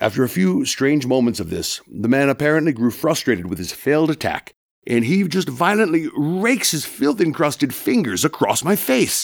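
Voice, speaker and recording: With an American accent, a man speaks at a moderate pace and hardly pauses. His fairly high voice swings very widely in pitch and carries vocal fry. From Massachusetts, US. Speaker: student storyteller. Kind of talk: personal storytelling performance.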